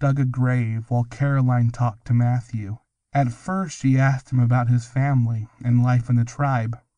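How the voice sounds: Quiet background, fairly even intonation, and a natural reading voice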